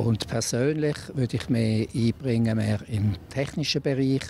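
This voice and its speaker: Over light background noise, a man speaks at a very slow pace with ordinary pitch variation, the sound dry with no echo. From Switzerland, Basel region. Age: 60s. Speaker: local councillor. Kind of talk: interview. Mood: calm, matter-of-fact. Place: street. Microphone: handheld.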